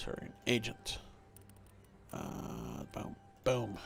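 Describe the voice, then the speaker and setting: There is noticeable noise in the background. A man is talking through it. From Sweden. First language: Swedish. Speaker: video game streamer. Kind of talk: live game stream commentary. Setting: livestream. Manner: halting.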